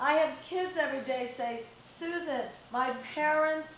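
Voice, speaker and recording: Over noticeable background noise and audible room echo, a woman speaks loudly. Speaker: parenting coach and guest speaker. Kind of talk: talk to live audience. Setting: stage with audience, no microphone. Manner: animated.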